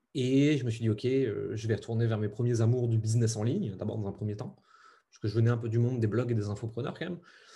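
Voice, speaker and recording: Against a quiet background, a man talks very fast in a somewhat breathy, dark, mellow voice of medium pitch, his intonation fairly even but his loudness swinging widely. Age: 30s. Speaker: entrepreneur. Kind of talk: interview.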